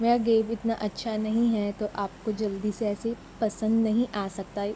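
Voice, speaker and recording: The speaker is a woman with a fairly high pitch. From Maharashtra, Mumbai. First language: Marathi (speaking Hindi). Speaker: mobile gaming YouTuber. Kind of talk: gameplay voice-over.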